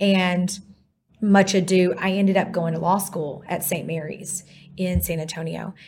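A somewhat breathy voice with a Texan accent, flat and monotone at a fairly slow pace. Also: woman, medium pitch for a woman. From East Texas. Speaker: divorce lawyer. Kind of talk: interview. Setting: studio.

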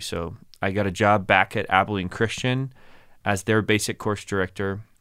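A man speaks in an ordinary speaking voice at a fairly low pitch, with fairly even intonation and a moderate pace, on a very clean recording with a silent background. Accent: American. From Dallas area, Texas. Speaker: communication professor. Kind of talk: casual interview chat. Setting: studio.

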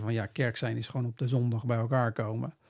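A man's normal speaking voice, medium in pitch, with fairly even intonation at a moderate pace on a very clean recording with a silent background. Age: 40s. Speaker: missionary and business mentor. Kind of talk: interview conversation.

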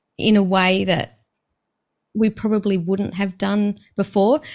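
The delivery comes at a fairly slow pace. It is a plain, everyday voice. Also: woman. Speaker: business coach, author and podcast host. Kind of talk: casual interview chat.

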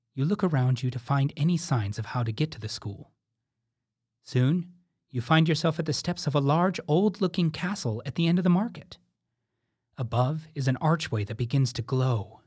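A man's fairly high, somewhat breathy voice with a playful, gentle tone at a moderate pace, in a very clean recording with a silent background. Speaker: drama warm-up guide. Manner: urgent, playful narration nudging the listener along; gentle, evocative and suspenseful, posing imaginative questions.

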